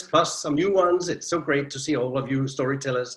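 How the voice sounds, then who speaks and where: Somewhat breathy, a man with a Danish accent speaks in a fairly high voice with ordinary pitch variation. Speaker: storyteller. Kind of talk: interview. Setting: video call.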